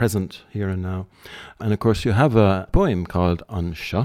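At a fairly slow pace, a man with a fairly low pitch talks in an ordinary speaking voice with ordinary pitch variation. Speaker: poetry magazine editor. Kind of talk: interview. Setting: private house.

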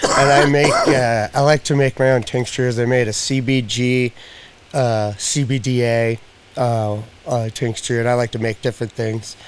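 Over noticeable background noise, a man talks at a medium pitch and a fairly slow pace in a monotone, flat intonation. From Spokane, eastern Washington. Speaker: pet CBD product maker. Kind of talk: casual chat.

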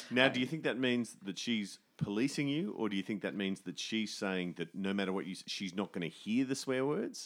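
A man with an Australian accent, fairly low-pitched, lively in intonation, at a fairly quick pace with hardly any pauses, on a very clean recording with a silent background. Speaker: musician and theatre writer. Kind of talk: casual chat.

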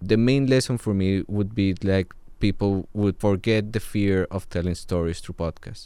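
On a very clean recording with a silent background, a man with a Spanish accent speaks in a dark, mellow tone at a fairly low pitch with ordinary pitch variation. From Colombia. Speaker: podcast producer. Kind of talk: interview.

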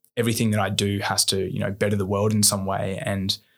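At a fairly quick pace, a man with an Australian accent speaks at a fairly low pitch in a very clean recording with a silent background. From Australia, New South Wales. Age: 20s. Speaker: engineer and social entrepreneur, army reservist. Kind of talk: candid podcast interview. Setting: studio.

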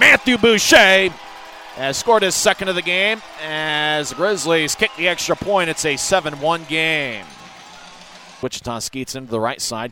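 Over noticeable background noise, a man with a fairly high voice speaks fairly slowly in an energetic, animated tone, his pitch swinging very widely. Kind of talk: hockey play-by-play. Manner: energetic and animated, shifting to a relaxed, conversational recap between goals.

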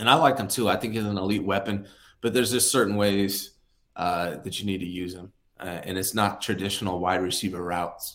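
An unremarkable speaking voice from a man, fairly low in pitch, fairly quick in pace, with fairly even intonation. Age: 40s. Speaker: sports podcast co-host. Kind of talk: casual chat. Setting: video call.

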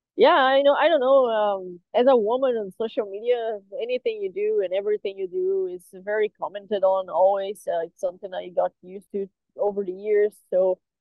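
With a Portuguese accent, a woman speaks with big swings in loudness and ordinary pitch variation. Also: medium pitch for a woman, fairly quick pace. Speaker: metal drummer. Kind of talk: interview. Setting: on tour.

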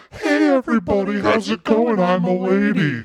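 A man's put-on character voice, high-pitched. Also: moderate pace.

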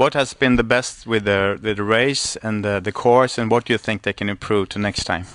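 Speaking with a Swedish accent, a man with a fairly low pitch keeps a moderate pace with hardly any pauses and fairly even intonation, in a dry, close sound with no echo against a quiet background. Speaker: kite racing podcast host. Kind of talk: interview. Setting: live stream at a surf club. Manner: halting, many fillers.

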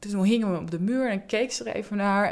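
It's a plain, everyday voice, and its intonation is lively. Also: woman. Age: 40s. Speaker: job coach in mental health care. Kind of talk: interview.

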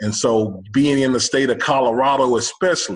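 Here is a man with a plain, everyday voice and an American accent. His intonation is fairly even and his pace moderate. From Texas, Houston. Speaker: college football head coach. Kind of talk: casual interview.

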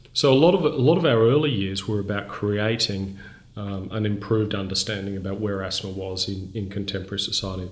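A man speaks fairly quickly in a fairly low, somewhat breathy voice. Room echo can be heard around him. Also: ordinary pitch variation. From Brisbane, Australia. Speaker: charity chief executive. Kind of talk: interview.

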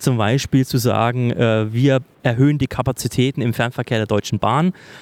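This is a man with a plain, everyday voice. The sound is dry and close, with no echo. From Thuringia, Germany. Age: 30s. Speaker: political staffer. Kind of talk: casual interview. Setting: office in parliament building.

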